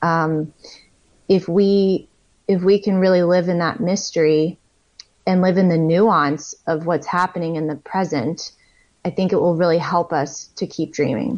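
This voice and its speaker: A woman with an ordinary speaking voice and a fairly low pitch speaks at a fairly slow pace with ordinary pitch variation against a quiet background. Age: 30s. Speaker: author. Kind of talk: interview.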